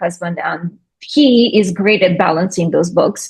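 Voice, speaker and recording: Against a quiet background, a woman talks with a Russian accent. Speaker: skincare business owner. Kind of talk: interview.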